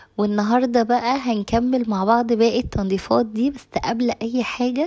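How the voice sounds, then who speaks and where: With an Egyptian accent, a woman speaks at a moderate pace. Her pitch is fairly high and her intonation fairly even. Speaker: cooking and home vlogger. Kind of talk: casual vlog talk to viewers. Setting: home kitchen.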